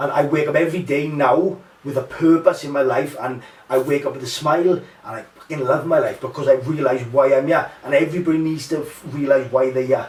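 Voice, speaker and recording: A man's fairly high-pitched voice moves at a fairly quick pace amid noticeable background noise. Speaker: MMA fighter and mental health podcaster. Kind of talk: casual chat. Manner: loud; animated.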